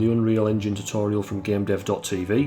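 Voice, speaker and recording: Fairly low male pitch at a fairly quick pace, over music in the background. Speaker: solo game developer. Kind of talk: casual devlog talk. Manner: monotone.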